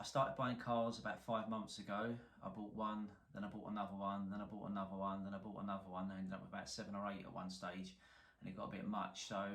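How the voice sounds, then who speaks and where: A man with a strong London accent talks very fast at a fairly low pitch with fairly even intonation, amid noticeable background noise and audible room echo. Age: 40s. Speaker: car salvage repairer, YouTuber. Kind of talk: casual to-camera introduction.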